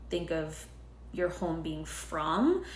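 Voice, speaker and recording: A woman is speaking. Audible room echo is present. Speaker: tarot reader. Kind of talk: tarot reading monologue. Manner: filler-heavy, casual.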